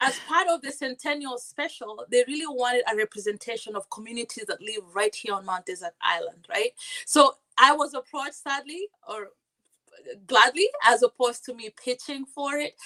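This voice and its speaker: A woman's raised, projected, high-pitched voice with a non-native accent, a bright, sharp tone, lively intonation and big swings in loudness, dry and close with no echo. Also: moderate pace. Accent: foreign. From Kenya. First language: not English. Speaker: community advocate and TV co-host. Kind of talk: podcast interview. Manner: repetitive stammering restarts.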